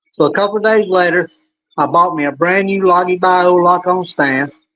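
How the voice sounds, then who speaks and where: Bright and sharp in tone, this voice moves at a moderate pace with a Southern US accent. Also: man. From upstate South Carolina, near Greenville. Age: 60s. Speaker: hunter. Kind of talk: storytelling interview.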